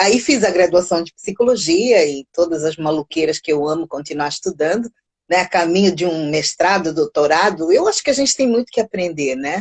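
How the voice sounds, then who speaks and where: A woman talks at a moderate pace with very wide pitch swings, the sound dry and close with no echo. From Mozambique, raised largely in Brazil. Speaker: psychologist and music teacher. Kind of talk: casual interview. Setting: online live stream.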